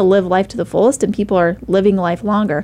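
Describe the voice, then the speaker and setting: This woman's voice sits at medium pitch with a dark, mellow tone. Her intonation stays fairly even. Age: 30s. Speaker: radio talk show host. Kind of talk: interview talk show. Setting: studio.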